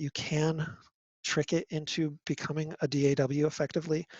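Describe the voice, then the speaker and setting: A man with a fairly high pitch sounds somewhat breathy and speaks in a flat monotone. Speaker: music technology lecturer. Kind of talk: lecture. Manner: halting, many fillers.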